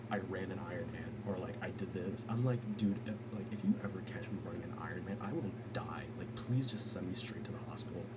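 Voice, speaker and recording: Over noticeable background noise, a man of medium pitch talks fairly quickly with hardly any pauses and fairly even intonation. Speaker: vlogger. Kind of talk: casual monologue. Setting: home at night. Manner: fast; rambling, jumps topics.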